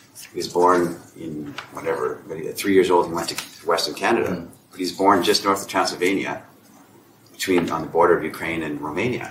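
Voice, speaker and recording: A man at a fairly quick pace with noticeable background noise. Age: 50s. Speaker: author. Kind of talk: casual chat.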